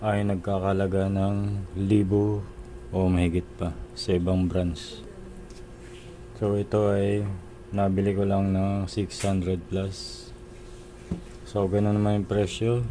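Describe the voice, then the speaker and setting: Soft-spoken, a man talks at a very slow pace with fairly even intonation, long, frequent pauses and audible room echo. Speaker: DIY video maker. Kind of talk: tutorial.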